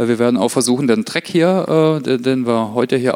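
With an unremarkable speaking voice, a man talks at a fairly slow pace with ordinary pitch variation, the sound dry and close with no echo. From Germany, Heilbronn area (Württemberg). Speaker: corporate learning specialist and speaker. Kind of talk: conference talk.

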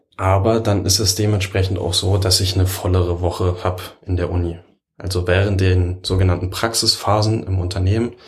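A man speaks at a fairly quick pace in a very deep, low voice, somewhat breathy, with very even loudness and a monotone, flat delivery. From Berlin. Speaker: computer science work-study student. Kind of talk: casual interview chat.

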